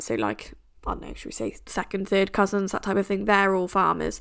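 On a very clean recording with a silent background, a woman speaks with an English accent. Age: 20s. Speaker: podcast host. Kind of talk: casual monologue. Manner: chatty, laughing.

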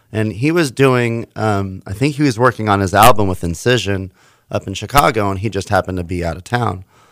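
An ordinary speaking voice with an American accent, ordinary pitch variation and a fairly quick pace, on a very clean recording with a silent background. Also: man, fairly low pitch for a man. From Houston, Texas. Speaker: DJ and licensed therapist. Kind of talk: casual interview.

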